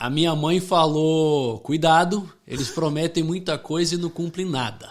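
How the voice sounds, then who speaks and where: A man talks fairly slowly in an ordinary speaking voice, his pitch fairly high with ordinary pitch variation. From Rio de Janeiro, Brazil until 8, then Connecticut, US. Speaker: former US Marine, gun shop owner. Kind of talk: podcast interview. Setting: studio.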